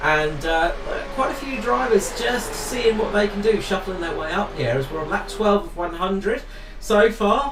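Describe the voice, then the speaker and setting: Over music in the background and audible room echo, a man speaks in a high pitch with lively intonation. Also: moderate pace. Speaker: esports race commentator. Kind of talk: live commentary. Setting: commentary booth.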